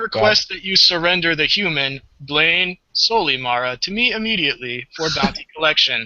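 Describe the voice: A man puts on a robotic character voice at a high pitch. He goes at a moderate pace with hardly any pauses.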